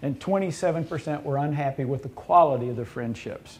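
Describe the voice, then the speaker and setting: Using a Southern US accent, a man speaks at a fairly quick pace in a dark, mellow tone with lively intonation. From US South. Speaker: university administrator. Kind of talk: roundtable discussion. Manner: halting.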